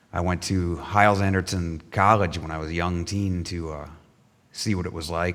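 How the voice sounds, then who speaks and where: Speaking with an American accent, a man has a very deep, low pitch. He talks at a fairly quick pace, and audible room echo surrounds his voice. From Michigan, US Midwest. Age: 40s. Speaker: church member giving testimony. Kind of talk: testimony. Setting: church. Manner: halting.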